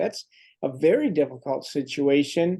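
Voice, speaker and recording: Dark, mellow tones from a man against a quiet background. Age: 60s. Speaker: medical doctor. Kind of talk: health webinar Q&A.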